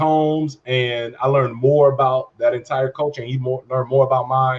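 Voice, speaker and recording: With an American accent and hardly any pauses, a man talks at a fairly quick pace in a medium, somewhat breathy voice, his intonation monotone and flat. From Chicago, west side. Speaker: podcast co-host. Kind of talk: casual chat.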